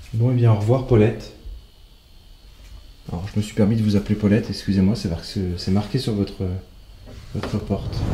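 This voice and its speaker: Soft-spoken and fairly low in pitch, a man talks at a fairly quick pace with fairly even intonation and long, frequent pauses. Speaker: paranormal investigator. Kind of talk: solo ghost-hunting walkthrough. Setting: abandoned hospital at night.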